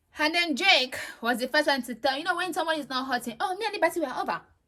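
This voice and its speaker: In a raised, projected voice, a woman talks very fast with an animated, bright, sharp tone, lively intonation and a high pitch. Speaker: reality TV reviewer. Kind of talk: casual monologue review.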